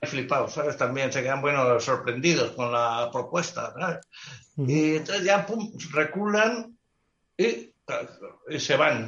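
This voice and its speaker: Speaking at a very slow pace with long, frequent pauses, a man uses a fairly high pitch and lively intonation. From Spain, Basque Country (Biscay). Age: 60s. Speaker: travel photographer. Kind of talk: casual interview. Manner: animated.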